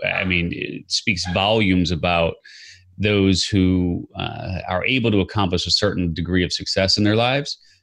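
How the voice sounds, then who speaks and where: Here a man talks at a moderate pace with an American accent. His voice is very deep and low, with ordinary pitch variation. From US Midwest, Chicago. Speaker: entrepreneur and podcaster. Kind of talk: interview. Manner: halting, many fillers and repeats.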